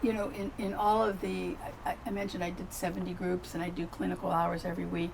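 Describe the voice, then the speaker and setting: A woman at a very fast pace, with audible room echo and noticeable background noise. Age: 70s. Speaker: psychotherapist. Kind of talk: casual chat.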